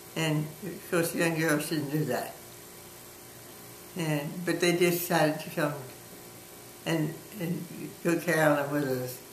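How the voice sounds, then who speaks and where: A woman with an American accent and a very deep, low pitch speaks in monotone, flat intonation at a fairly slow pace with long, frequent pauses, amid audible room echo and noticeable background noise. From New Orleans, Louisiana. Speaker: grandmother interviewed about her life. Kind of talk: oral history interview. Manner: halting.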